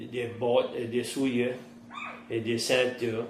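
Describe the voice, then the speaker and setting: A man speaks at a medium pitch with a Cajun accent over noticeable background noise. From Terrebonne Parish, Louisiana. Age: 50s. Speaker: fisherman and trapper. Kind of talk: interview answer.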